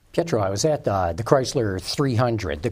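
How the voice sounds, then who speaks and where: Using very wide pitch swings, a man with a fairly low pitch speaks at a fairly quick pace in a somewhat breathy voice. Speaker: automotive TV show host. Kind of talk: interview. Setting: studio.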